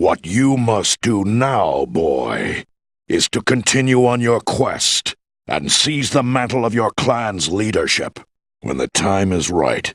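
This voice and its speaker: A man puts on a character voice. His pitch sits in the middle range and he speaks at a fairly slow pace. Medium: video game. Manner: measured, authoritative.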